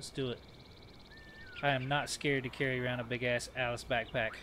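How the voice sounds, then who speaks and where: At a moderate pace and medium pitch, a man with a Southern US accent talks against noticeable background noise. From US South. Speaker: video game streamer. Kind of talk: live gameplay commentary. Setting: home.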